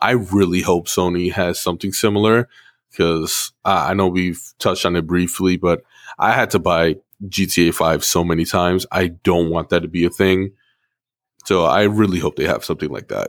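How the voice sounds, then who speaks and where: Very deep and low in pitch, a man speaks at a moderate pace with fairly even intonation, the recording very clean with a silent background and a dry, close sound with no echo. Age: 30s. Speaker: gaming podcast host. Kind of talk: casual chat. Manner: hesitant, many fillers.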